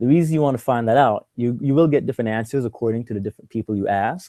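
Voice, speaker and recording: With an American accent, a man speaks at a medium pitch with ordinary pitch variation, his dark, mellow tone caught in a dry, close sound with no echo. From New York City. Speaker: graduate student. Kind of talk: webinar presentation. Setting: video call. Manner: halting.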